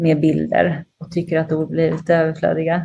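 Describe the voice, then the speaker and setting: This woman has a dark, mellow tone and a fairly low pitch. She speaks at a moderate pace. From Sweden, Linköping. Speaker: radio journalist and TV commentator. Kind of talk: interview conversation.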